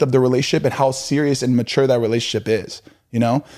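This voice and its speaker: A man talks at a very fast pace in a medium pitch, his tone dark and mellow and his intonation fairly even. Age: 30s. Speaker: podcast co-host, relationship advice. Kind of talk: casual chat.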